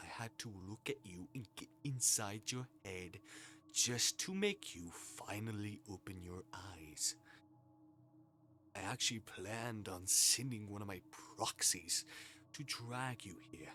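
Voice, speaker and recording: Over music in the background, a man uses a breathy, put-on character voice at a fairly low pitch, moving at a fairly slow pace with long, frequent pauses. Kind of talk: dramatic game reading. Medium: game stream. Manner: soothing, seductive, menacing.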